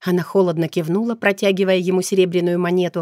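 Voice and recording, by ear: The text is read aloud in a natural voice.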